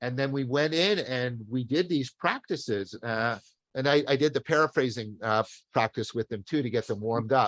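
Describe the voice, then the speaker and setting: Heard with a dry, close sound with no echo, a man speaks at a moderate pace and medium pitch with ordinary pitch variation. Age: 60s. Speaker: professor. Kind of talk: casual chat. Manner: halting.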